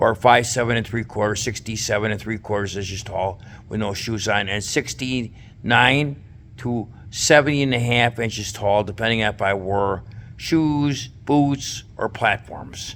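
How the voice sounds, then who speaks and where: A man with an ordinary speaking voice talks at a fairly slow pace, at a medium pitch with ordinary pitch variation. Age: 60s. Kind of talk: casual talk to camera.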